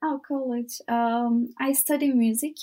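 A woman speaks in a Turkish accent with a high pitch. Her tone is dark and mellow, and her pitch variation is ordinary. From Turkey, Izmir. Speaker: volunteer. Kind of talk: interview. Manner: halting.

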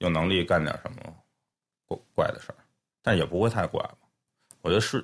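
Words come at a very fast pace. The pitch moves in an ordinary way. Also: man. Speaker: music producer. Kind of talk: casual chat. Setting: studio.

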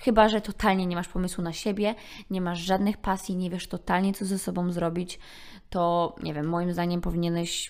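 With a plain, everyday voice, a woman at a medium pitch speaks at a moderate pace and with fairly even intonation on a very clean recording with a silent background. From Poland. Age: 20s. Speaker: podcaster. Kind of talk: solo monologue podcast.

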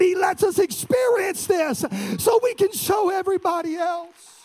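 A man is shouting in an animated tone. There is noticeable background noise. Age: 30s. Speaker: pastor. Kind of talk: sermon. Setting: church.

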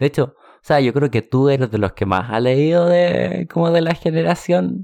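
A man's unremarkable speaking voice, fairly high in pitch, at a moderate pace. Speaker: podcast host, book club. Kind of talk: casual chat.

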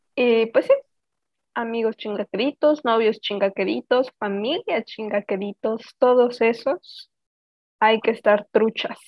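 Her pace is very slow and her pitch fairly high. The woman's intonation remains fairly even throughout. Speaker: podcast co-host. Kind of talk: casual chat.

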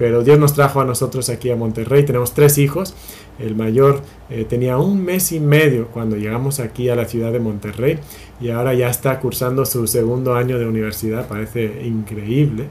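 Audible room echo on a man's voice, medium in pitch, with ordinary pitch variation and a moderate pace. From Spain. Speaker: pastor. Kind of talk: sermon. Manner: halting.

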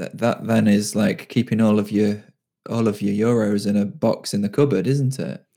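A man speaks with a British accent. His tone is dark and mellow, and his pitch is fairly low. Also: ordinary pitch variation, moderate pace. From UK. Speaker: freelance web developer. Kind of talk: casual chat.

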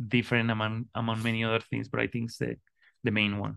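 This is a man talking. He speaks with a Spanish accent. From Colombia. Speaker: artist and design educator. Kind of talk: interview conversation. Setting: remote call. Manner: halting, many repetitions and fillers.

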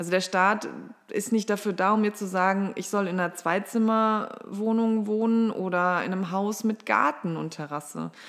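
At a moderate pace, a woman speaks in a plain, everyday voice with a medium pitch and fairly even intonation. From Ruhr area, Germany (Mülheim an der Ruhr). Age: 30s. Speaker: state politician. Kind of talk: political interview.

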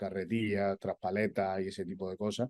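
This man speaks fairly low in pitch at a moderate pace. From Spain, Andalusia (Granada). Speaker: olive oil company executive. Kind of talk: interview. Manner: halting, with repetitions.

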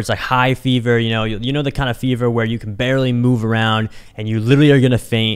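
Using a normal speaking voice, a man with an American accent speaks at medium pitch with fairly even intonation. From Kansas City area, US Midwest. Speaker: entrepreneur podcast host. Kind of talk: solo podcast monologue. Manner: casual, many filler words.

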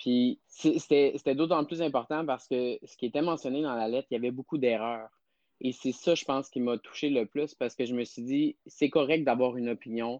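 A man speaks at a moderate pace in a plain, everyday voice, medium in pitch. His intonation is fairly even, and the sound is dry and close with no echo. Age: 30s. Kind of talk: interview.

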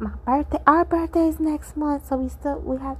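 A woman talks at a fairly slow pace. Her pitch is high.

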